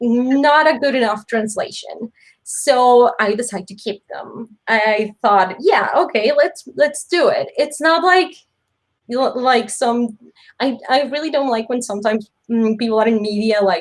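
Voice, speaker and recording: A woman's high voice, with ordinary pitch variation, unfolds at a fairly slow pace. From Mexico. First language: Spanish. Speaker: webtoon author. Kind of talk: interview. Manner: halting.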